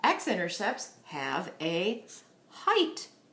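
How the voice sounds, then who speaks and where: A woman's voice is heard with audible room echo. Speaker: math teacher. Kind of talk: tutorial. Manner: animated.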